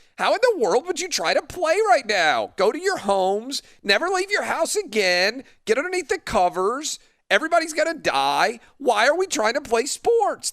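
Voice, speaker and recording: A man's put-on character voice, extremely high in pitch with very wide pitch swings, at a moderate pace. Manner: panicky, mocking.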